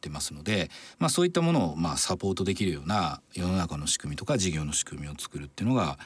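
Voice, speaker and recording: The man's very deep, low voice moves at a very fast pace with ordinary pitch variation. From Japan, Tokushima. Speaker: entrepreneur and venture capitalist. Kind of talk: radio interview.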